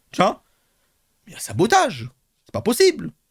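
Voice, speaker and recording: Dry, close male speech with no echo, on a very clean recording against a silent background. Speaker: streamer reacting to a replay. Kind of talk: casual stream chat. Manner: loud; animated, halting repetitions.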